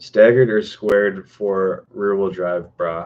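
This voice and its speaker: A man's fairly low, normal speaking voice with an American accent, at a fairly slow pace. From Chicago, US Midwest. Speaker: car tuning YouTuber. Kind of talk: livestream Q&A. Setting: livestream. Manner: casual, filler-heavy.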